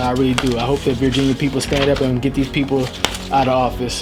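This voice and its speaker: Music plays in the background as the speaker talks very fast in a flat monotone, with audible room echo. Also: man. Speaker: political commentary youtuber. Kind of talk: casual commentary, partly reading aloud.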